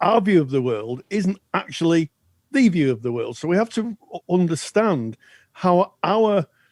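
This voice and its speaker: A man's high-pitched voice with very wide pitch swings at a fairly slow pace, dry and close with no echo. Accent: British. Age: 60s. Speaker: podcast co-host, counselling educator. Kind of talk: educational podcast discussion. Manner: halting, repeats words.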